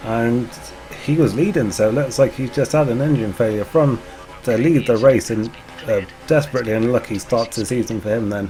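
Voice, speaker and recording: Medium pitch from a man at a fairly quick pace, ordinary pitch variation, with music in the background. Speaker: gaming commentator. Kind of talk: casual gameplay commentary.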